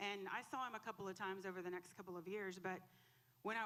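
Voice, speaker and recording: A loud woman's voice, medium in pitch and bright and sharp in tone, with fairly even intonation. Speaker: church member giving testimony. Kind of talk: testimony. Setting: church. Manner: emotional.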